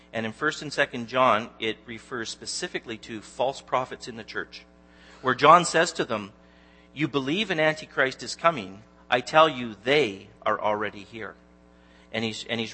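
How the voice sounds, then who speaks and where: Music plays behind a man with a Canadian accent who speaks at a medium pitch and a moderate pace. His pitch varies in an ordinary way, while his loudness swings widely. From Canada, Ontario (Newmarket near Toronto). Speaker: lay preacher, Bible teacher. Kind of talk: sermon. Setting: church. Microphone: handheld microphone that kept cutting out.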